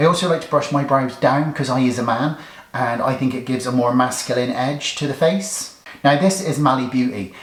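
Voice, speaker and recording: A man talks at a fairly quick pace. Room echo is audible and background noise is noticeable. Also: medium pitch for a man. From England, Somerset (Bridgwater). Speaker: beauty YouTuber. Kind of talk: makeup tutorial, comedic get-ready-with-me. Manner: deadpan, tongue-in-cheek.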